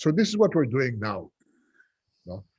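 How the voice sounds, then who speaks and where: A man's somewhat breathy voice at medium pitch. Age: 60s. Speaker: urban development advocate. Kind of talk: panel discussion. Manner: halting.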